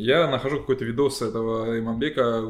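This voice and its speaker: In a medium pitch, the man uses an ordinary speaking voice. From Belarus, Gomel region. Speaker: electronic musician. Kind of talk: casual chat.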